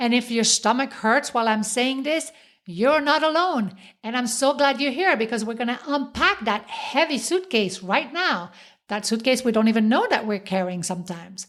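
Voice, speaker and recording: A woman's high-pitched voice with a slight French accent, lively intonation and a moderate pace, in a very clean recording with a silent background. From French-speaking Switzerland. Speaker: podcast host, self-help coach. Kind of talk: motivational podcast monologue.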